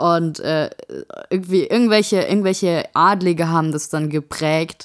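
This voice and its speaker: A woman speaks at a very slow pace in a fairly low pitch with fairly even intonation, the sound dry and close with no echo. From Saarland. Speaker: podcast co-host. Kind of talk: casual chat.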